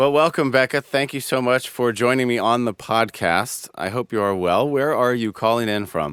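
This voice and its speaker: A man's unremarkable speaking voice, medium in pitch, with an American accent, moderate pace, ordinary pitch variation and hardly any pauses, on a very clean recording with a silent background and a dry, close sound with no echo. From United States. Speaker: podcast host. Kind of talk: interview.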